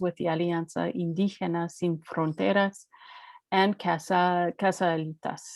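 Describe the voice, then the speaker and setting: A woman with a Canadian accent has a normal speaking voice, fairly low in pitch, with fairly even intonation at a moderate pace. The sound is dry and close, with no echo. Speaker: webinar host introducing speakers. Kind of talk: speaker introduction.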